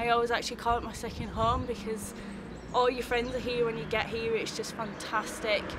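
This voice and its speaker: Both noticeable background noise and audible room echo are present as a woman speaks with a fairly high pitch. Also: fairly quick pace. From northern England (County Durham). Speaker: amateur track driver. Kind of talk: interview. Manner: animated.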